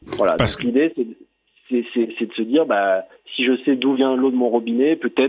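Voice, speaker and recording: A man speaks with fairly even intonation. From southern France, Toulon. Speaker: urban planner, cycling-geography guide. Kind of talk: interview. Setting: phone call. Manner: halting, many repetitions.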